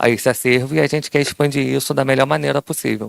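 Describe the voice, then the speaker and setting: A man's voice at medium pitch. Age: 30s. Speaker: audiovisual archive worker. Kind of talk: self-introduction in workshop.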